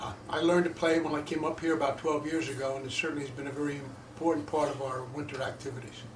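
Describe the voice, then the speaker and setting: Someone talks at a very fast pace with fairly even intonation, while noticeable background noise and audible room echo fill the recording. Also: man, fairly high pitch for a man. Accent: American. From Long Island, New York. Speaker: senior platform tennis player. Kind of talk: group discussion.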